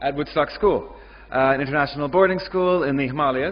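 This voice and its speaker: Audible room echo surrounds this man. He has a fairly high pitch and fairly even intonation. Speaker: ESL teacher, conference speaker. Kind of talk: conference presentation.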